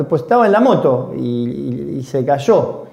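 A man's voice with audible room echo. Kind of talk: casual chat.

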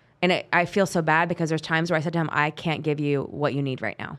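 A woman's very deep, low voice in a Western US accent. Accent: General American, western US. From US West Coast, Bay Area of California. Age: 40s. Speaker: police officer. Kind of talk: casual interview chat.

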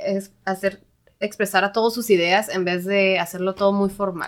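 Her intonation is monotone and flat at a medium pitch. The woman talks at a fairly slow pace. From Mexico, Tijuana. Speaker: software developer. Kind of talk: casual chat.

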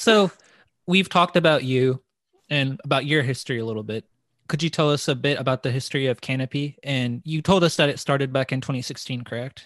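An unremarkable speaking voice with an American accent, a fairly quick pace and ordinary pitch variation, dry and close with no echo over a quiet background. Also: man, fairly high pitch for a man. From US South, small-town Arkansas. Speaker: podcast host. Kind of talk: interview.

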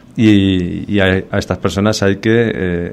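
Over noticeable background noise, a man with a Spanish accent speaks in a very deep, low pitch with fairly even intonation. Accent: Spanish (Spain). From Spain. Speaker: army colonel and mountaineer. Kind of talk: radio interview.

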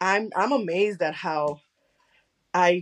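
A woman with a Spanish accent. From Chicago, US. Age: 20s. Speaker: podcast host and content creator. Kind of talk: casual interview chat. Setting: remote recording.

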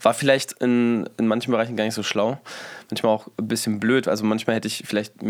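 With monotone, flat intonation, a man of medium pitch talks at a very fast pace. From Berlin. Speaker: rapper and songwriter. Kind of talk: casual interview.

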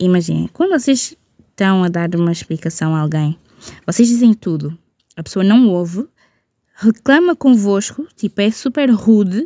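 This woman's pitch swings very widely, and her tone is dark and mellow. She keeps a moderate pace, and the sound is dry and close with no echo. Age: 20s. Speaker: podcast host. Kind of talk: casual solo rant. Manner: casual, mixes English words.

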